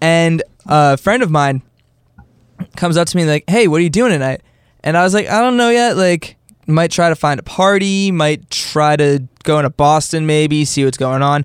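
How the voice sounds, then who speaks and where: A man with a plain, everyday voice speaks at a moderate pace in a fairly high pitch, with ordinary pitch variation and very even loudness. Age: 20s. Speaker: podcast co-host. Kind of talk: casual chat.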